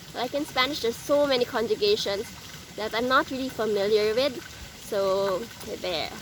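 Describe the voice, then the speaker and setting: Fairly high-pitched woman with a Filipino accent at a moderate pace, with ordinary pitch variation, long, frequent pauses and noticeable background noise. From Philippines. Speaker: vlogger. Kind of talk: casual vlog tips. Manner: halting, many fillers.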